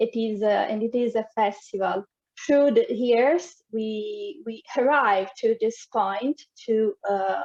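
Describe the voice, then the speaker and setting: Using ordinary pitch variation, a woman with an Italian accent and a fairly high pitch speaks at a very slow pace in a dry, close sound with no echo. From Italy. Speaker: dancer and arts organization founder. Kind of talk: presentation. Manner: halting, many fillers.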